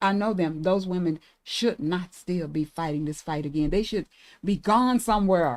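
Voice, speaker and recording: A woman speaks in a normal speaking voice at medium pitch. Her pace is moderate, with ordinary pitch variation. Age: 60s. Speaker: reproductive justice advocate. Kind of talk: podcast conversation.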